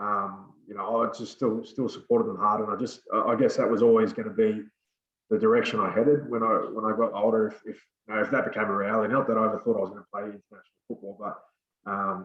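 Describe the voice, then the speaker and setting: In an Australian accent, a man talks at a very fast pace. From Australia, Sydney (born NZ, moved at four). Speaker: former rugby league player. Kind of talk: interview.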